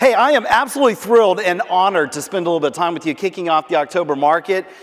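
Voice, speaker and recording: Over noticeable background noise, a man with an American accent talks very fast in an animated tone, his pitch high and his intonation lively. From Central Florida. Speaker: professional speaker. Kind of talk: keynote speech. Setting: stage with audience.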